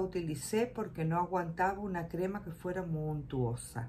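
A woman talks at a moderate pace in a somewhat breathy voice. Light background noise can be heard. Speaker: shopping vlogger. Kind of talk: casual vlog chat. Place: home room. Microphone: phone near.

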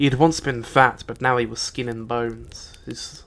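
Someone reads aloud plainly. Intonation is fairly even throughout.

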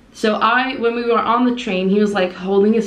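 There is audible room echo around a woman who speaks at a moderate pace. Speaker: vlogger. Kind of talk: casual vlog chat. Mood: amused storytelling. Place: home room. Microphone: phone near.

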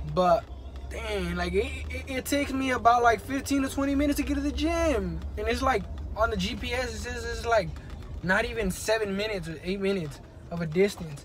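A man speaks at a moderate pace. Faint music plays behind him. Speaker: vlogger. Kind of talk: casual vlog chat. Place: car. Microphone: phone near.

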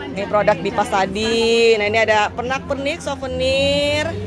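A woman speaks with clear music in the background. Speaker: travel vlogger. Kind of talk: casual vlog chat. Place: market.

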